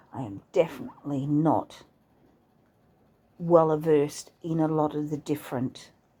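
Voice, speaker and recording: With an Australian accent, a woman speaks in a very deep, low, dark and mellow voice with ordinary pitch variation. Her pace is fairly slow, with long, frequent pauses. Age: 60s. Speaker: vlogger. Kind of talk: casual monologue. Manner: halting.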